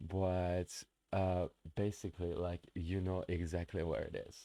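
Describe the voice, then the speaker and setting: Against a quiet background, a man speaks very slowly in a dark, mellow tone, his very deep, low pitch delivered in monotone, flat intonation. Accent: non-native. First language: not English. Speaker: streamer. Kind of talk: live stream reaction commentary. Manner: halting, many fillers and restarts.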